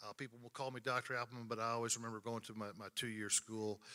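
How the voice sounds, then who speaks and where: Bright and sharp in tone, a man with an American accent speaks at medium pitch in a flat monotone. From north central Oklahoma. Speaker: event emcee, college official with doctorate. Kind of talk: ceremony emcee remarks. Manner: halting, many fillers.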